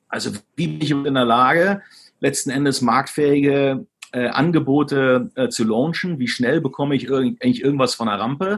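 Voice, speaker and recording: Pitched fairly high, a man speaks with ordinary pitch variation. His pace is moderate. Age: 40s. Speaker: e-commerce executive. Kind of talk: interview. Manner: hesitant, many fillers.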